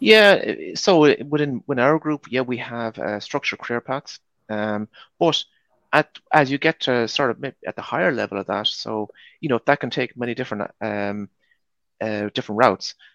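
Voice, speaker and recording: In a dry, close recording with no echo and a quiet background, a man with a normal speaking voice talks at a moderate pace and medium pitch, with ordinary pitch variation. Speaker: supply chain manager. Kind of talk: panel discussion. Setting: video call.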